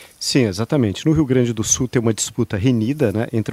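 With a Brazilian accent, a man of medium pitch speaks in a dark, mellow tone at a fairly quick pace with ordinary pitch variation, on a very clean recording with a silent background and a dry, close sound with no echo. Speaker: political commentator. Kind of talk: casual chat.

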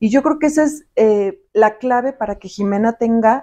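A woman talks in a fairly high voice with ordinary pitch variation. It is a plain, everyday voice. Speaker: logistics professional. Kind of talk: interview.

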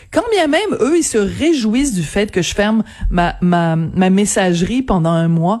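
On a very clean recording with a silent backdrop, a woman's pitch ranges enormously high and low. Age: 50s. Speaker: newspaper columnist. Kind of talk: radio interview.

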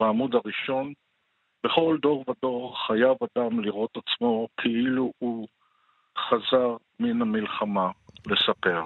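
Delivery is very slow, with ordinary pitch variation. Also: man. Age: 70s. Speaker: economist and poet, war veteran. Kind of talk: interview.

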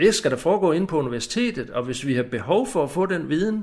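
A man at a moderate pace with very wide pitch swings, on a very clean recording with a silent background. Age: 60s. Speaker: retired army major, former lecturer. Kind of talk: recorded interview.

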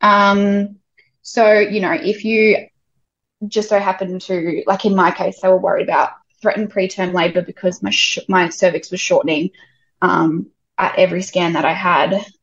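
A somewhat breathy woman's voice with an Australian accent, medium in pitch with ordinary pitch variation. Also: moderate pace. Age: 20s. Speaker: childcare worker and mother. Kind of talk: casual chat.

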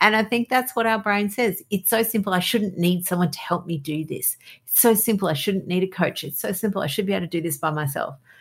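A woman talks at a very fast pace and medium pitch in a warm, cheerful, somewhat breathy tone with ordinary pitch variation. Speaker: doctor and podcast host. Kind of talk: casual interview chat. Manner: warm, cheerful, enthusiastic.

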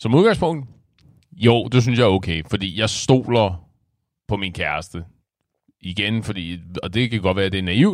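Spoken at a fairly slow pace with long, frequent pauses and ordinary pitch variation, this is a very clean recording over a silent background. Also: man, fairly low pitch for a man. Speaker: amateur podcast co-host. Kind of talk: casual chat. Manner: animated.

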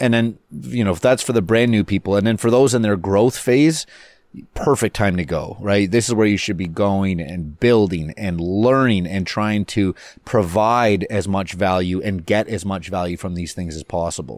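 At a moderate pace, a man speaks in a normal speaking voice with fairly low pitch and ordinary pitch variation, on a very clean recording with a silent background. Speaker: podcast host, mortgage agent. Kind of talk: casual banter podcast. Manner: joking, playful.

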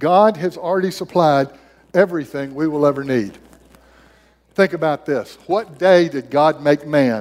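A man with a plain, everyday voice talks at a fairly slow pace in a fairly high pitch. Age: 60s. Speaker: missionary preacher. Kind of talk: sermon. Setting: church.

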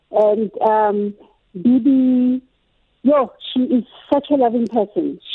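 A woman's high voice at a very slow pace, with long, frequent pauses, ordinary pitch variation and very even loudness. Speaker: caller, author. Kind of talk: call-in tribute. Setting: phone call.

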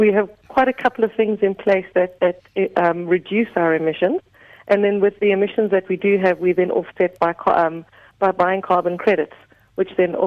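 In a normal speaking voice, a woman talks fairly quickly at a medium pitch with fairly even intonation. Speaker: tourism marketing manager. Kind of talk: radio interview.

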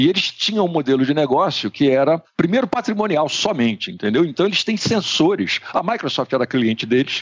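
This man speaks at a fairly quick pace with a fairly high pitch and hardly any pauses. His pitch swings very widely while his loudness stays very even. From Brazil, Rio de Janeiro. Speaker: digital strategy consultant. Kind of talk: interview. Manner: halting, many fillers.

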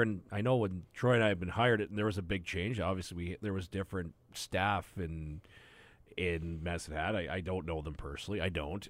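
A man with a Western Canadian accent is heard on a very clean recording with a silent background. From Southern Alberta, Canada. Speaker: hockey broadcaster. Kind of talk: casual chat.

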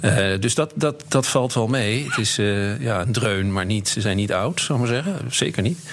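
At a moderate pace and medium pitch, a man talks with very even loudness and hardly any pauses, with noticeable background noise behind him. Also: lively intonation. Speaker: chief economist. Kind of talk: casual chat.

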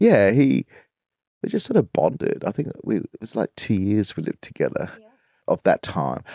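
Man with an Australian accent at a moderate pace, dry, close sound with no echo. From Southeast Queensland, Australia. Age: 50s. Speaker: choreographer. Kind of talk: casual chat.

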